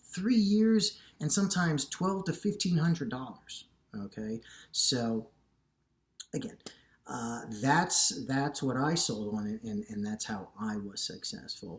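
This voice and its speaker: A man speaks fairly slowly in a fairly high, somewhat breathy voice. His pitch swings very widely, and he pauses long and often. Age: 50s. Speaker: fitness YouTuber. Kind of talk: casual vlog monologue. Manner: halting, many fillers and repeats.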